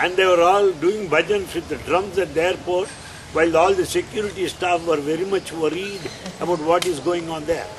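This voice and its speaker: Noticeable background noise sits behind a man talking at a moderate pace in a high pitch with fairly even intonation. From India. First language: Telugu (speaking Spanish). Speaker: spiritual speaker. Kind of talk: spiritual talk.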